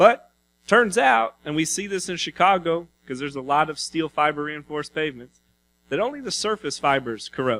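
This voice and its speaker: A man's bright, sharp tone and lively intonation on a very clean recording with a silent background. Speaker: conference presenter, pavement engineering researcher. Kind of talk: conference presentation. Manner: fast.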